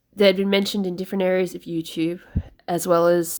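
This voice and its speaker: Speaking at a fairly quick pace, a woman with an Australian accent keeps a fairly low pitch and fairly even intonation. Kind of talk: personal letter reading, book reflection.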